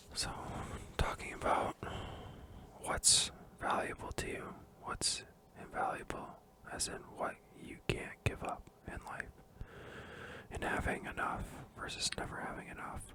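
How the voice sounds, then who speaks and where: A man whispers at a fairly slow pace, with long, frequent pauses. Noticeable background noise runs through the clip. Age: 20s. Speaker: ASMR creator. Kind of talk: book review, casual talk to camera. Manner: soft-spoken, whispering.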